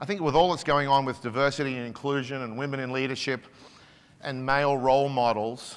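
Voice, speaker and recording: Speaking with an Australian accent, a man goes at a fairly quick pace with fairly even intonation. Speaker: business executive; keynote speaker. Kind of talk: conference keynote speech. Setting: stage with audience. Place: hall. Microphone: lapel.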